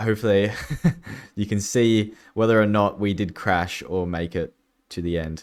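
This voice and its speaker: In a very clean recording with a silent background, a man mumbles at a moderate pace, his fairly low pitch held in fairly even intonation. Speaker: gaming YouTuber. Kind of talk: gameplay commentary. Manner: mumbling; casual, hesitant with fillers.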